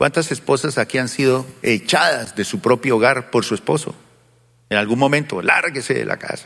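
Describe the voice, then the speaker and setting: An animated man speaks at a medium pitch in a bright, sharp tone. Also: ordinary pitch variation, moderate pace. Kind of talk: sermon. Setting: church with congregation. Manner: animated, rhetorical, question-and-answer style with congregation; colloquial, folksy, mixing humor with exhortation.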